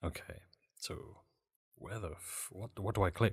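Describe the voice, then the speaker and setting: A man speaks in a somewhat breathy voice. The recording is very clean with a silent background. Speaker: gaming podcast host. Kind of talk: casual chat.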